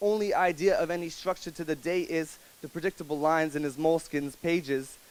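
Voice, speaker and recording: The intonation here is fairly even. It comes across as a normal speaking voice. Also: man. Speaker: spoken word poet. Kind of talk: spoken word poetry performance. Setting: live coffee house audience.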